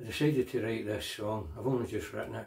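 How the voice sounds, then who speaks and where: In a Scottish accent, a man talks at a medium pitch with ordinary pitch variation, his dark, mellow tone somewhat breathy. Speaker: singer-songwriter. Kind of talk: casual chat to camera.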